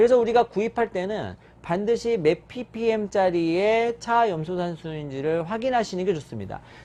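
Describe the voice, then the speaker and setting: A man's high-pitched voice with a dark, mellow tone and hardly any pauses. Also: ordinary pitch variation. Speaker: pharmacist health YouTuber. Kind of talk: explanatory health talk. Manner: fast.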